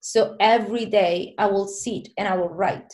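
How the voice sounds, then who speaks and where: A woman is speaking with a Spanish accent. Her pitch sits at a medium level. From southern Spain, small town. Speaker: filmmaker. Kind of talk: casual interview chat.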